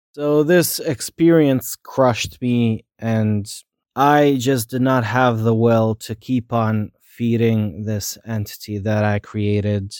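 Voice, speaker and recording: A man at medium pitch speaks at a very slow pace in a dry, close sound with no echo. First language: not English. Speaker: podcaster. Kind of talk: personal monologue. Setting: in bed at home late at night. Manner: unscripted, halting at times.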